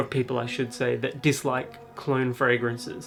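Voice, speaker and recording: Over music in the background, a man with an Australian accent talks at a moderate pace. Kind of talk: casual talk to camera.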